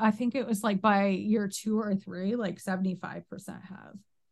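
Spoken with an American accent, the delivery has a somewhat breathy quality. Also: woman. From upstate New York. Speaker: guest with bipolar disorder. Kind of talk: casual chat. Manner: fast talker.

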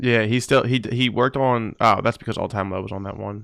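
A man with a fairly low pitch and vocal fry speaks at a very fast pace with fairly even intonation, on a very clean recording with a silent background. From New Jersey. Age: 20s. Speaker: podcast host. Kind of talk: casual interview.

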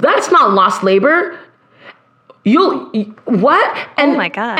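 A woman's very slow speech with very wide pitch swings and audible room echo. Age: 30s. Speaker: singer and educator. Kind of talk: casual chat.

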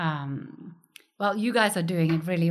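A woman with a Norwegian accent talks at a moderate pace in a fairly low pitch. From Norway, countryside. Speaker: gallerist and curator. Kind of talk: interview.

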